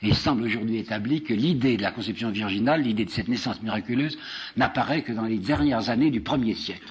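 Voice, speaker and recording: A man is talking here at a fairly quick pace. His pitch is medium. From France. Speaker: historian and lecturer. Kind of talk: public lecture.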